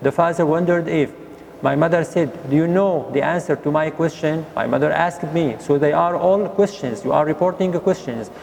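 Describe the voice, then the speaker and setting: Noticeable background noise sits behind a man with a high pitch, ordinary pitch variation, very even loudness and a fairly quick pace. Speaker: English teacher. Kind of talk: lesson.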